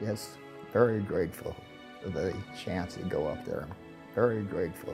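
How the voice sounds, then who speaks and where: A man with an American accent talks at a moderate pace while music plays in the background. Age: 80s+. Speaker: war veteran. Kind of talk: interview answer.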